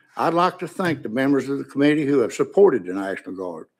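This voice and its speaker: On a very clean recording with a silent background, a man talks at a fairly quick pace with a fairly high pitch and very wide pitch swings in an East Tennessee accent. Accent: Upper East Tennessee. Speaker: witness testifying on a bill, veteran. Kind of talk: legislative testimony. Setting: committee hearing room.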